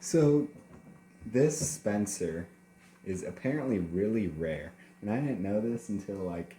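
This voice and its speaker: Noticeable background noise sits behind a man whose voice is fairly low in pitch. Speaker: toy collector video host. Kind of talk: casual toy review video. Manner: slurring words.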